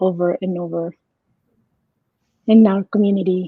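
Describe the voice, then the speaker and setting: A woman with a Spanish accent speaks at a moderate pace, her intonation fairly even. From Mexico. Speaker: marriage and family therapist. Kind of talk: podcast interview.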